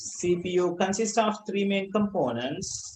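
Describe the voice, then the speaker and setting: A man with a Sri Lankan accent at a fairly slow pace. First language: Sinhala. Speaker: school ICT teacher. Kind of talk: online class lesson. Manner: halting, with repetitions.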